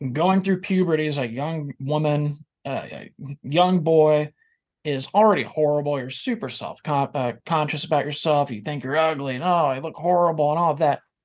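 A man speaks at a moderate pace with a plain, everyday voice. His pitch is fairly high, with ordinary variation. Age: 40s. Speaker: podcast host, guest on another podcast. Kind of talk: casual chat.

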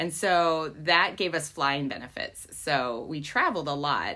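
A woman speaks with an American accent. Her pitch variation is ordinary. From United States. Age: 40s. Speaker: church planter and college ministry worker. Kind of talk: faith interview.

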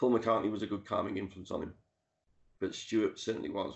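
With a Liverpool accent, a man speaks in fairly even intonation. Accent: Liverpool (Scouse). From Liverpool, England (Dingle). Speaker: author and music historian. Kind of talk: interview. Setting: video call.

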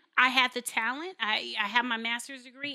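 This voice has a bright, sharp tone and ordinary pitch variation. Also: woman. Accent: American. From Los Angeles, California. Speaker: TV host and author. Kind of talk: interview. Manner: fast.

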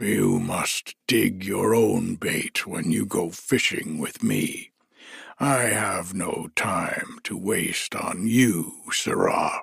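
A gruff, raspy put-on character voice from a man, at a very slow pace. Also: medium pitch for a man. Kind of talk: bedtime storybook reading. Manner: gruff, boastful, patronizing.

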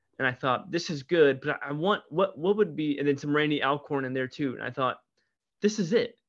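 Against a quiet background, a man speaks in an ordinary speaking voice at a moderate pace with ordinary pitch variation. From US Midwest, St. Louis, Missouri. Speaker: pastor. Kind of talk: interview conversation.

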